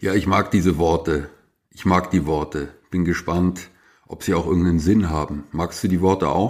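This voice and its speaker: A man speaks at a moderate pace in a very deep, low pitch with fairly even intonation. The recording is very clean, with a silent background. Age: 50s. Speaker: journalist and author. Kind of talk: casual chat.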